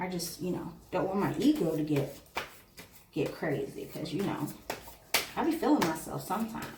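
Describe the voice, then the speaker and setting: A woman whispers at a moderate pace with long, frequent pauses. Audible room echo and noticeable background noise surround her voice. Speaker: tarot reader. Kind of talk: tarot reading. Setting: indoors by an open window. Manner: whispering; casual, chatty.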